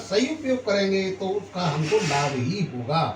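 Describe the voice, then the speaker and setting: Noticeable background noise under a high-pitched male voice. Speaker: grandfather sharing spiritual wisdom. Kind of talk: teaching explanation to a grandchild.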